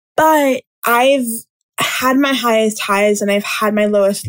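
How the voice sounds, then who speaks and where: A woman speaks at a fairly slow pace in a normal speaking voice, her pitch fairly high, with a dry, close sound and no echo. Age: 20s. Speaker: podcast host, student entrepreneur. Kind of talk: solo podcast monologue.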